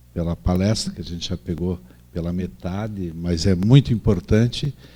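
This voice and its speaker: A man with a very deep, low voice and a dark, mellow tone speaks fairly slowly with ordinary pitch variation. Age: 60s. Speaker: doctor, gynecologist. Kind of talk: lecture.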